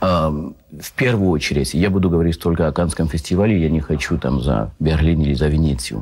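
A man's very deep, low voice with vocal fry, ordinary pitch variation and a fairly quick pace. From France. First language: French (speaking Russian). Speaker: film festival correspondent. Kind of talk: talk show interview. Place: studio.

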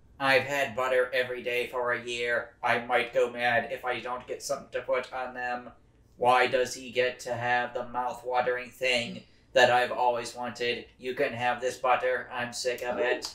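Using a put-on character voice, a man with a medium pitch talks at a moderate pace. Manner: whiny and envious, then gushing.

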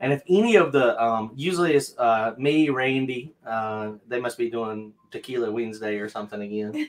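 With a Southern US accent, a man talks at a moderate pace with hardly any pauses and ordinary pitch variation. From North Carolina. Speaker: drag racer and channel host. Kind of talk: live-stream Q&A chat. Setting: video call. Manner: casual, laughs often. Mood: relaxed, friendly. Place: home room.

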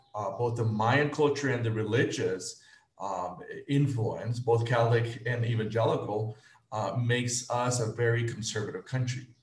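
A man talks at a moderate pace in a flat monotone. There is audible echo from the room. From Guatemala. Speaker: nonprofit executive director, reproductive health; panelist. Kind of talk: panel presentation. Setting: video call. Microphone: video call.

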